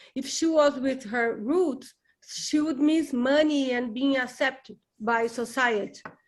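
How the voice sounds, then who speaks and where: A woman speaks with a Brazilian Portuguese accent at a fairly slow pace. Her pitch is high and her intonation fairly even. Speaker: book group member. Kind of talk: casual discussion. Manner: halting.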